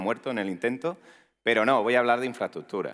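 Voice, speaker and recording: Here a man speaks with an Andalusian accent at a medium pitch. The recording is very clean, with a silent background. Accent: Andalusian (Málaga). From Spain, Málaga (Andalusia). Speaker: tech executive, conference speaker. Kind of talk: conference talk. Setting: stage with audience. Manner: casual, joking.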